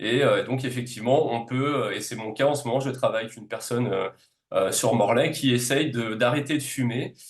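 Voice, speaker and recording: A man's voice of medium pitch runs fairly quickly, its intonation fairly even. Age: 40s. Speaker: naturopath and reflexologist. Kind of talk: podcast interview. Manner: hesitant, many filler sounds.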